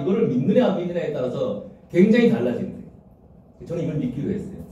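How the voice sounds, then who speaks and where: Audible room echo surrounds a man with a high pitch and lively intonation. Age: 60s. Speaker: community leader. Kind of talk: presentation to a group meeting.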